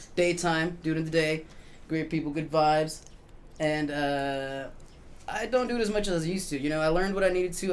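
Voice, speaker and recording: With audible room echo around him, a man with a fairly high pitch talks at a fairly quick pace in a relaxed tone, with ordinary pitch variation. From Mexico and US, raised bilingual. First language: Spanish. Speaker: musician and tattoo artist. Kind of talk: casual interview chat. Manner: relaxed, filler-heavy.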